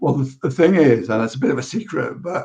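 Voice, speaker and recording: There is a dark, mellow tone here. Some breathiness runs through it too. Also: man. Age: 60s. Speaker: computer science educator and coding club volunteer. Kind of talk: panel discussion. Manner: repetitive restarts.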